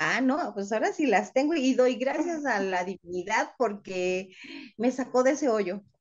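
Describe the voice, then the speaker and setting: Fairly slow, lively-toned speech from a woman, high in pitch. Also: quiet background. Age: 50s. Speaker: call center worker living with diabetes; interviewee. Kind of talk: personal testimony interview. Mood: warm, upbeat, emotional. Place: home room. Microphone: video call.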